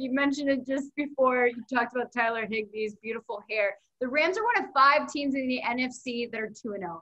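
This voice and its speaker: Her voice raised and projected, a woman speaks at a high pitch and a moderate pace in a bright, sharp tone, with hardly any pauses. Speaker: team reporter and podcast host. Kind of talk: casual interview chat about football.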